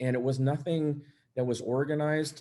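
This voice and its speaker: A man's voice with an American accent, a dark, mellow tone, ordinary pitch variation, and a moderate pace. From San Jose, California. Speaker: police officer, panelist. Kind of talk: panel discussion. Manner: halting.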